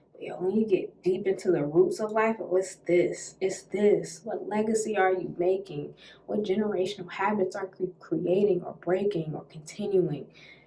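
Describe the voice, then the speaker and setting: A woman's medium-pitched voice at a moderate pace, with hardly any pauses, fairly even intonation, big swings in loudness and noticeable background noise. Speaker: podcast host. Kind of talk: solo podcast monologue.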